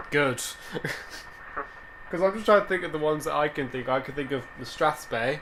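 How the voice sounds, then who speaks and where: Over noticeable background noise, a man with a fairly high voice talks at a fairly quick clip, broken by long, frequent pauses. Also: ordinary pitch variation. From England. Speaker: vidcast host. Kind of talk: casual chat.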